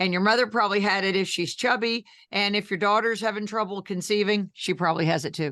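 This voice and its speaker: A woman speaks at a very fast pace with an American accent, her pitch medium and her tone animated. The sound is bright and sharp over a quiet background. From New Jersey, US. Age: 60s. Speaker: health coach and thyroid patient advocate. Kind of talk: podcast interview.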